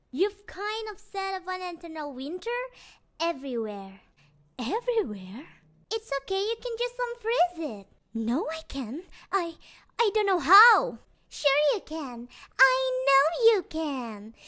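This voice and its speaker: In a put-on character voice, a female-sounding speaker goes extremely high in pitch with very wide swings, talking at a fairly slow pace broken by long, frequent pauses. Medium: voice reel.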